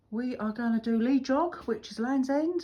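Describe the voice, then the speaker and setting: Against a very clean recording with a silent background, a woman speaks at a moderate pace, somewhat breathy. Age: 50s. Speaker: photographer and motorcyclist vlogger. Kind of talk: casual vlog. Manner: chatty, informal.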